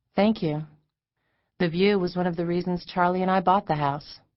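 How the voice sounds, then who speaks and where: This is a put-on character voice, breathy and at a middle pitch. It moves at a moderate pace. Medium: read story.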